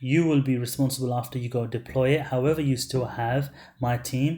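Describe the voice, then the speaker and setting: A man speaks at a medium pitch, somewhat breathy. His tone is dark and mellow. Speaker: online marketer selling ad services. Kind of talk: webinar sales pitch. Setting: webinar. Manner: animated.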